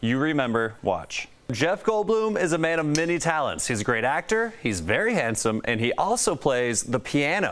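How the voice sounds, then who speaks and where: A man with a fairly high voice talks with very wide pitch swings, very even loudness and hardly any pauses. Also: moderate pace. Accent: American. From Colorado. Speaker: TV news reporter and anchor. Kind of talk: news anchor read.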